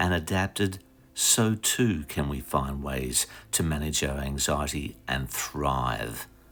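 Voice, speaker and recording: A man with an Australian accent, very slow in pace and calm in tone. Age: 60s. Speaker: vlogger. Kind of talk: reflective vlog narration. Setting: outdoors.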